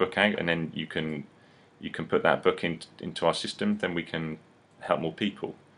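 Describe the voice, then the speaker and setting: The tone is bright and sharp, delivered with an English accent at a fairly quick pace. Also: man. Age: 30s. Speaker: publisher and seminar presenter. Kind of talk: seminar preview talk. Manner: halting, repetitive; animated.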